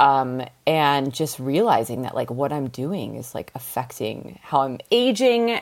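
Speaking at a fairly slow pace, a woman uses a very deep, low pitch that swings very widely. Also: hardly any pauses. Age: 30s. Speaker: vintage clothing seller. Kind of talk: casual chat.

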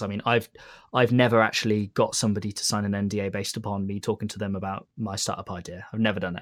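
The recording is very clean, its background silent. On it, a man talks in a British accent. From Britain. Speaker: tech company CTO. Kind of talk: interview.

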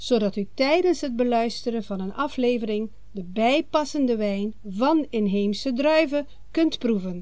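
The tone is dark and mellow, with lively intonation and a very slow pace. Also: woman. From Aruba. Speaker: podcast host, wine seller. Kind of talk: scripted podcast announcement. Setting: at mother's home on Aruba. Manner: formal.

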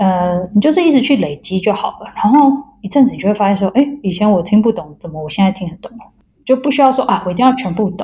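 Speaking at a very fast pace, a woman uses lively intonation at a medium pitch. Her voice is somewhat breathy, and her loudness swings widely. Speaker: molecular biologist. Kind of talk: interview. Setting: remote call.

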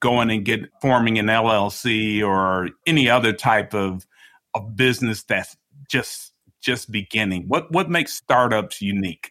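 In an unremarkable speaking voice, a man with an American accent talks at a fairly slow pace, with a fairly low pitch and ordinary pitch variation. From Chicago. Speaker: podcast host. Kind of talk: interview.

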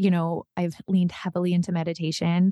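With a Western Canadian accent, a woman speaks fairly quickly in a fairly low, dark, mellow voice, the sound dry and close with no echo. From northern British Columbia, Canada. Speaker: podcast host and trauma survivor. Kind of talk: interview.

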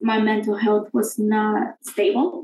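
In a Spanish accent, a woman speaks at a very slow pace with a fairly high pitch and a somewhat breathy sound. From Guatemala. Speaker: college alumna and campus ministry volunteer. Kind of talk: casual interview, personal testimony.

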